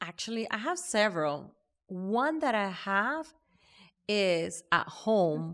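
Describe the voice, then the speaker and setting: In a very clean recording with a silent background, a woman with a non-native accent speaks at a medium pitch. Her pace is very slow and her pitch swings very widely. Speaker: podcast guest, mother. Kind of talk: casual chat.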